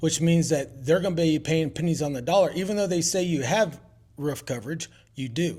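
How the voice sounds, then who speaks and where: Mumbling at a moderate pace, a man talks in a fairly high pitch with ordinary pitch variation. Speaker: roofing contractor. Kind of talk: casual interview.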